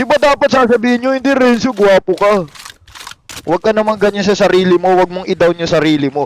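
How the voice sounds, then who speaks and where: A man at a fairly quick pace with lively intonation and a dry, close sound with no echo. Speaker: game streamer. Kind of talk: live gameplay stream chat. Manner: animated.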